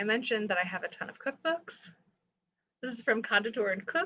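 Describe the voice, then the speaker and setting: A woman speaks in a fairly high voice. Her tone is animated, bright and sharp. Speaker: library staff host of book show. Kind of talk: casual livestream chat. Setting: livestream from home apartment. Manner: chatty, animated; quiet. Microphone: too quiet at first, computer mic.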